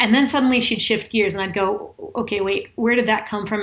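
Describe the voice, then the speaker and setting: A woman with an unremarkable speaking voice talks at a fairly quick pace, with ordinary pitch variation. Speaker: executive communication and vocal presence coach. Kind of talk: casual commentary to camera.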